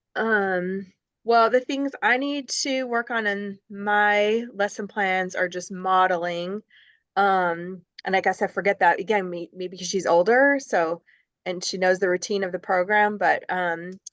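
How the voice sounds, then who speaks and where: An unremarkable speaking voice moves at a fairly slow pace over a quiet background. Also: woman, medium pitch for a woman, ordinary pitch variation. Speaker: student teacher. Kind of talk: casual chat.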